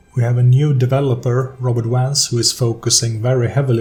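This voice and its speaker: Music plays behind a man with a non-native accent. He talks at a moderate pace and medium pitch in a monotone, flat delivery. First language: not English. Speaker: tabletop RPG video creator. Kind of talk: unscripted monologue. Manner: halting, with many fillers.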